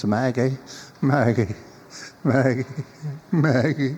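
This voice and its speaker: Very slowly and shakily, a man uses a put-on character voice at a medium pitch with ordinary pitch variation. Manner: calling out pleadingly.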